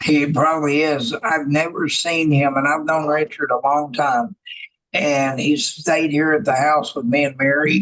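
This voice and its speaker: At a fairly slow pace, a man with a fairly high pitch keeps his loudness very even. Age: 60s. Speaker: podcast host. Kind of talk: casual chat. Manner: animated.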